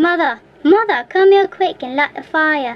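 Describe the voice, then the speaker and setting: A woman puts on a character voice at an extremely high pitch, talking at a moderate pace. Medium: read story. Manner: growling, gloating.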